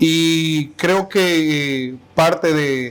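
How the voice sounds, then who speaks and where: Pitched fairly high, a man speaks with fairly even intonation. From Honduras, Tegucigalpa. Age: 30s. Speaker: pastor. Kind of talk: interview testimony. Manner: hesitant, with fillers and repetitions.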